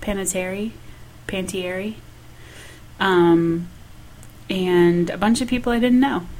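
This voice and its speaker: With an American accent, the speaker talks at a very slow pace with long, frequent pauses and ordinary pitch variation, and audible room echo can be heard. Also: woman, medium pitch for a woman. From US North, Michigan. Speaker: podcast co-host. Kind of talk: casual chat. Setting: home dining room.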